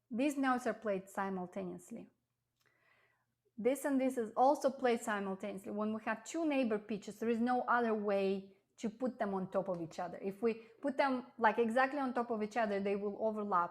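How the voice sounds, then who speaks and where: This woman has an ordinary speaking voice at a fairly high pitch. She talks at a fairly quick pace with ordinary pitch variation. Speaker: piano teacher. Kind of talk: lecture.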